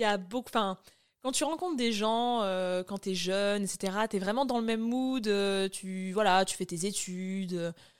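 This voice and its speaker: A woman speaks at medium pitch with ordinary pitch variation in an ordinary speaking voice. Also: very clean recording, silent background. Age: 30s. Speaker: dietitian. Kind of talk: interview testimony.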